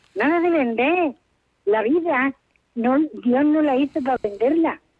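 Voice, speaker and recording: A woman's high-pitched voice with very wide pitch swings at a fairly slow pace. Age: 80s+. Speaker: caller. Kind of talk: radio call-in.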